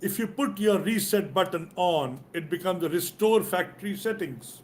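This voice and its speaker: Speaking with an Indian accent, a man uses a high pitch with ordinary variation at a moderate pace. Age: 60s. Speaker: business and leadership coach. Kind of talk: motivational talk in live interview.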